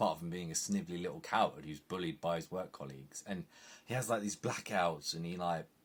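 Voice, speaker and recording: With an English accent, a man speaks at a very fast pace in a very deep, low pitch with lively intonation. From England. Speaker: film and TV reviewer. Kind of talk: casual review monologue.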